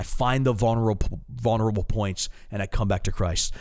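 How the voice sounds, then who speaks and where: On a very clean recording with a silent background, a man with an American accent talks at a fairly quick pace with lively intonation. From US East Coast, Maryland. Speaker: pastor. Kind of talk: podcast Bible teaching discussion. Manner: halting, frequent repetitions.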